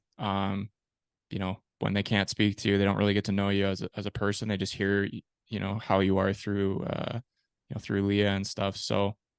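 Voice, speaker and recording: A man's fairly low, monotone, flat voice with a Canadian accent, dry and close with no echo against a quiet background. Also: moderate pace. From Canada, Peterborough, Ontario. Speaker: ice hockey goalie and podcast host. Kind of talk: interview, telling own life story. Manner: casual, with many fillers.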